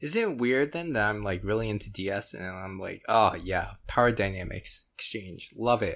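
With an American accent and an unremarkable speaking voice, a man speaks at a moderate pace with a fairly low pitch, ordinary pitch variation and hardly any pauses, on a very clean recording with a silent background. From US, Florida. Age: 30s. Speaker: podcast guest. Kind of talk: casual chat.

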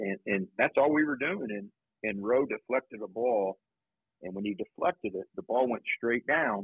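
With a Midwestern American accent, a man speaks at a medium pitch and a moderate pace. His intonation is lively. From Indiana, Anderson. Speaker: high school basketball coach. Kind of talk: interview.

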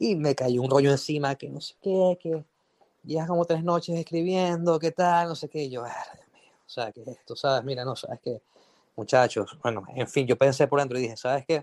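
A man with a fairly high voice shows big swings in loudness and ordinary pitch variation. The sound is dry and close, with no echo. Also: moderate pace. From Venezuela. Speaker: record label A&R director. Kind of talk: casual chat. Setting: online audio room. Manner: halting, many repetitions.

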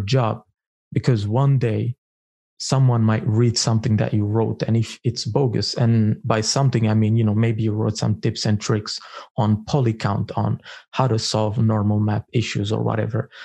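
Against a quiet background, a man with a non-native accent speaks at a moderate pace, his medium-pitched voice somewhat breathy and dark, mellow in tone, with fairly even intonation and very even loudness. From Eritrea. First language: not English. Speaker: technical artist and tool developer. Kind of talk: casual interview.

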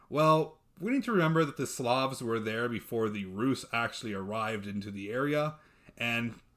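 The recording is very clean, with a silent background. A man with an American accent uses an ordinary speaking voice at medium pitch, with ordinary pitch variation and a moderate pace. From Texas. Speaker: podcast host, history presenter. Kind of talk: casual chat.

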